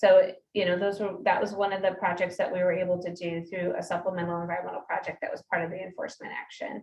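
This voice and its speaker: A woman talks very fast with hardly any pauses. Her medium-pitched voice is somewhat breathy and monotone, flat in intonation. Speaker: state air quality enforcement official. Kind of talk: public meeting presentation and Q&A. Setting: community meeting with audience.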